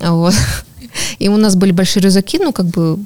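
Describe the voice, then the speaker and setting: Over noticeable background noise, a woman speaks at a fairly quick pace. Her pitch is medium and her intonation fairly even. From Norilsk, Russian Far North. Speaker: amateur runner and running community ambassador. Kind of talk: podcast interview. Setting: studio.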